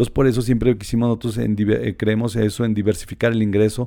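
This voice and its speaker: In a very clean recording over a silent background, a man speaks at a fairly quick pace. His medium-pitched voice has a dark, mellow tone and a flat, monotone delivery. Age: 40s. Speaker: tourism entrepreneur. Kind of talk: casual interview.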